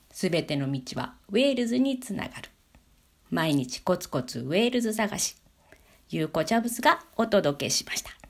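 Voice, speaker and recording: A woman's medium-pitched voice at a moderate pace, with very wide pitch swings, big jumps in loudness, and noticeable background noise. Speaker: podcaster. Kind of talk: solo talk monologue. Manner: casual with fillers.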